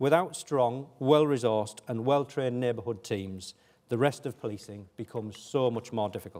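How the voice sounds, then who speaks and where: This man has a northeast England accent and a medium pitch. He speaks at a moderate pace with ordinary pitch variation. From northeast England (Hartlepool). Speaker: police chief. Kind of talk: keynote speech.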